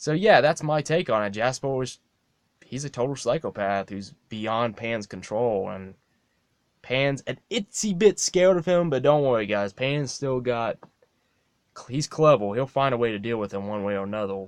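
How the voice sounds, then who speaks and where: A man's mumbling at a medium pitch and moderate pace, with lively intonation and a dry, close sound with no echo. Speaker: fan video maker. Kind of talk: casual monologue. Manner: halting.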